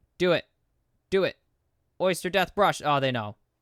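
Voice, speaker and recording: Raising and projecting his voice, a man speaks with a bright, sharp tone and lively intonation in a dry, close sound with no echo. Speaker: esports caster. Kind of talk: live commentary. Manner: loud; animated.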